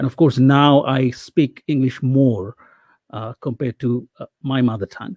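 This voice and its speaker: A man speaks in a Bengali accent at medium pitch, his tone dark and mellow. The recording is very clean with a silent background, and the sound is dry and close with no echo. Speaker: academic. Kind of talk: panel discussion.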